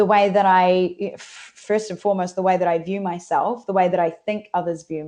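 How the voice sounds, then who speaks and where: In a New Zealand accent, a woman speaks fairly quickly at a medium pitch, her tone dark and mellow. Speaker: transformative coach. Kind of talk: podcast interview.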